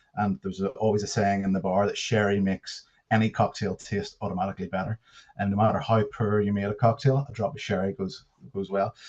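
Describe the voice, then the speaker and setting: Speaking in a Northern Irish accent at a very fast pace, a man with a fairly low pitch is heard over a quiet background. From Northern Ireland, near Belfast. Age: 30s. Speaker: whiskey brand ambassador. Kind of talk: presentation. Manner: halting, many fillers.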